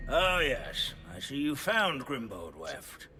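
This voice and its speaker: Using a put-on character voice, a man speaks fairly slowly at a fairly high pitch over clear background noise. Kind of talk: lecture. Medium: video game. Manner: pedantic, meandering.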